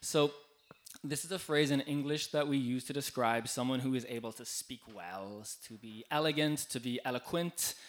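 Speaking with an Irish accent, a man keeps a medium pitch with ordinary pitch variation. He moves at a moderate pace. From Ireland. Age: 20s. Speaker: EU worker and volunteer speaker. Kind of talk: live talk to bar audience. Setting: stage in a bar with audience.

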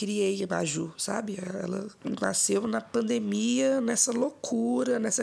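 A woman speaks over noticeable background noise. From Minas Gerais, Brazil (Ouro Preto area). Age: 20s. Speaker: rapper. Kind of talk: casual interview.

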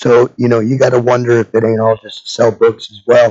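Dark, mellow tone with little pitch movement. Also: man, medium pitch for a man, fairly quick pace.

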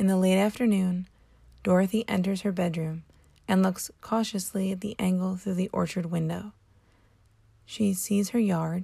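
A woman speaks at a moderate pace with a medium pitch and a somewhat breathy voice. Her intonation stays fairly even. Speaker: podcast host. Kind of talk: reading aloud.

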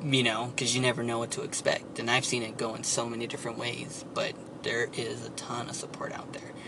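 Over noticeable background noise, a man with an American accent speaks at a moderate pace and medium pitch in a monotone, flat intonation. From San Antonio, Texas. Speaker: political activist and writer. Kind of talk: interview. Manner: halting.

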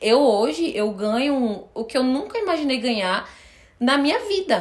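A woman speaks at a moderate pace in an animated tone, her intonation lively. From Brazil, Recife (Pernambuco). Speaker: influencer talent manager, agency owner. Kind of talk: casual chat.

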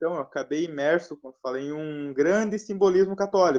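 The recording of a man speaking at a moderate pace with ordinary pitch variation has a dry, close sound with no echo. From southern Brazil. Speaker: live stream participant. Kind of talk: casual chat. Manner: halting.

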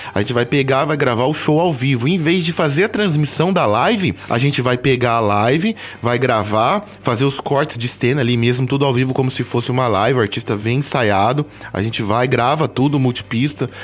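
Noticeable background noise sits behind a man of medium pitch. His pitch varies in an ordinary way and his loudness stays very even. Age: 30s. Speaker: musician and graphic designer. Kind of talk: casual interview. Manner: animated.

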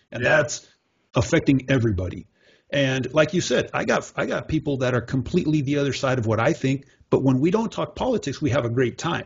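A somewhat breathy man's voice at medium pitch, with ordinary pitch variation and a fairly quick pace. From Mexico. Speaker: podcast host. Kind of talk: casual chat.

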